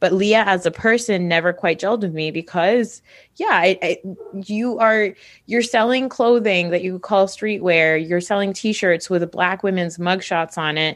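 With an American accent, a woman speaks in a plain, everyday voice at a fairly slow pace, her medium pitch showing ordinary variation. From US Northeast. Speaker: podcast co-host, pop culture commentator. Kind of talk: casual chat.

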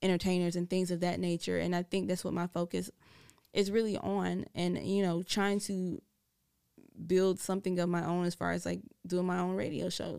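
A woman's fairly low voice at a moderate pace, monotone and flat in intonation. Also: very clean recording, silent background. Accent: American. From US South. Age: 30s. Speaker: radio personality. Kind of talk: casual chat. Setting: studio.

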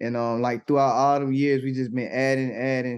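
In an American accent, a man at medium pitch talks fairly quickly with monotone, flat intonation. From Atlanta, Georgia (US South). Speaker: gospel rapper. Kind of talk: casual interview. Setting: livestream on Twitch.

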